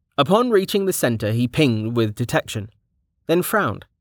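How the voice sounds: The background is quiet as someone reads in a natural reading voice.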